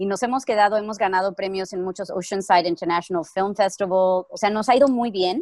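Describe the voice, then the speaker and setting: In a very clean recording with a silent background, a woman with a plain, everyday voice speaks at a fairly quick pace and medium pitch, her intonation fairly even and hardly any pauses between words. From Mexico. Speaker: actress. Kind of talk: casual chat.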